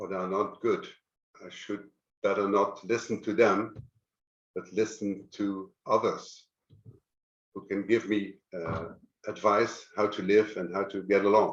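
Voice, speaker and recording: In a fairly low, monotone voice with flat intonation, a man speaks at a fairly slow pace. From Netherlands. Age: 60s. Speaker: guest sharing depression experience. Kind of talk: personal testimony. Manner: halting, many fillers.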